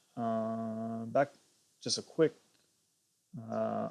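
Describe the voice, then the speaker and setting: Soft-spoken delivery with fairly even intonation on a very clean recording with a silent background. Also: man. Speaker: gaming streamer. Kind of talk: gameplay livestream commentary. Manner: hesitant, many fillers. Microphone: cheap plug-in earpiece mic, not clear.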